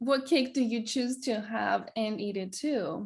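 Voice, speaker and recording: Her voice somewhat breathy, a woman speaks at a fairly high pitch. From Greece. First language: Greek. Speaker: wellness coach. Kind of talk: casual chat. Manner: halting.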